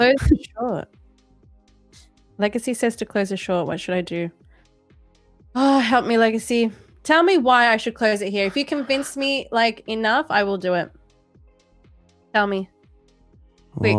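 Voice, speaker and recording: With music in the background, a woman speaks at a moderate pace in a fairly high pitch, using lively intonation and long, frequent pauses. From Australia. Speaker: streamer doing live trading.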